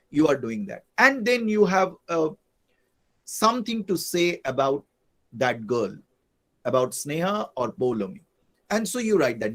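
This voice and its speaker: The voice swings very widely in pitch and shows big swings in loudness. Long, frequent pauses break up the speech. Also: man. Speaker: English professor teaching online class. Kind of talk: lecture.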